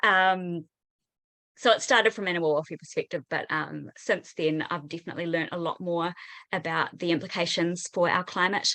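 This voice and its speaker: At a moderate pace and with fairly even intonation, the speaker uses a bright, sharp tone and a New Zealand accent over a quiet background. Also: woman, fairly low pitch for a woman. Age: 30s. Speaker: teacher. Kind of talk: online panel discussion. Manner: hesitant, many fillers.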